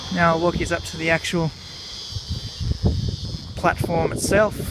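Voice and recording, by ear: A man talks with a fairly bright tone at a high pitch for a man, over faint background noise.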